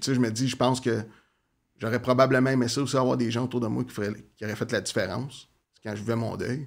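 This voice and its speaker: A man talks very fast in a flat monotone with vocal fry, leaving long, frequent pauses. The recording is very clean with a silent background. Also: medium pitch for a man. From Quebec, Gatineau (Outaouais). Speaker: community organization worker in offender reintegration. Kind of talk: interview conversation.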